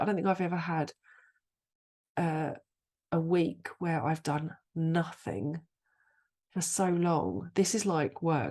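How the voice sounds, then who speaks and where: Vocal fry marks a woman's fairly low-pitched voice, with ordinary pitch variation. She speaks at a fairly slow pace with long, frequent pauses against a quiet background. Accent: British. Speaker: astrologer, podcast host. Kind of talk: casual podcast talk.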